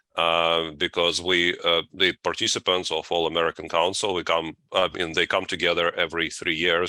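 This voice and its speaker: A man speaks at a moderate pace in a Russian accent, his pitch very deep and low, his tone bright and sharp. The sound is dry and close, with no echo. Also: hardly any pauses. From Latvia, Russian family. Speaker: deacon and seminary professor. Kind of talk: interview. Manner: halting, many fillers.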